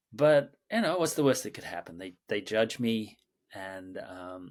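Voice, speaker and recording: The speaker has an Australian accent. The recording is very clean, with a silent background. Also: man. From Australia, Sydney. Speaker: creative director and mindfulness teacher. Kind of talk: interview conversation. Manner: halting, many repetitions and fillers.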